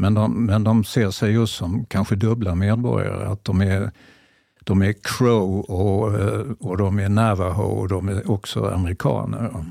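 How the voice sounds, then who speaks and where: Fairly low in pitch, a man speaks with a dark, mellow tone and fairly even intonation. His pace is fairly slow, and the recording is very clean with a silent background. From Malmö, Skåne, southern Sweden. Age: 70s. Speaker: journalist and author. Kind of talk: casual chat.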